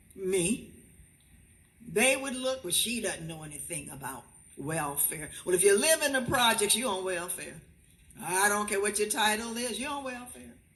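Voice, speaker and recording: A woman with an American accent speaks at medium pitch and a moderate pace, with very wide pitch swings and big swings in loudness. Audible room echo surrounds her voice. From Miami, Florida, US. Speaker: school board member, former principal. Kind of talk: ceremonial presentation speech. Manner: animated.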